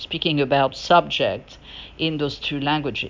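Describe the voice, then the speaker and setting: A woman with a French accent speaks in a very deep, low voice. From France. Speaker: podcaster. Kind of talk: solo podcast monologue. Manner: halting, many fillers.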